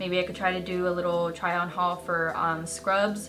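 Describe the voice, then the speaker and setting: A woman speaks at a moderate pace while music plays clearly in the background. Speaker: beauty vlogger. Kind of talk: casual vlog chat. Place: home room.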